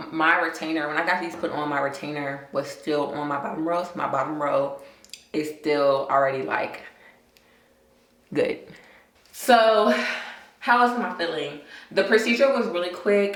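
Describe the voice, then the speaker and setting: A woman with a fairly low voice and lively intonation speaks at a moderate pace, leaving long, frequent pauses. Room echo is audible. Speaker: lifestyle vlogger. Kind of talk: casual vlog review.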